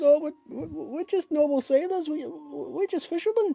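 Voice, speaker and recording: A high-pitched, put-on character voice goes along at a moderate pace. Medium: actual play. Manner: panicky, babbling.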